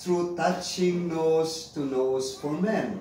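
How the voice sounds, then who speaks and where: There is light background noise and audible room echo as a man talks at a very slow pace. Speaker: interviewee. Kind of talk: interview answer. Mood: friendly, smiling. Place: home room. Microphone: camera far.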